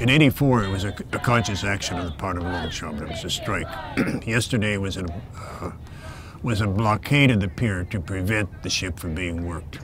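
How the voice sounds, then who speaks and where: Over noticeable background noise and audible room echo, a man with a fairly low pitch talks at a fairly quick pace. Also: ordinary pitch variation. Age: 80s+. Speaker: retired longshoreman. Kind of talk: interview. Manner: halting, with many fillers.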